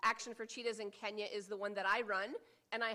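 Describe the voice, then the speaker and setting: Speaking at a fairly quick pace, a woman with a Midwestern American accent has a bright, sharp tone, medium pitch and fairly even intonation. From US Midwest, Michigan. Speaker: cheetah conservationist. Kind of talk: conference presentation. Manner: quiet.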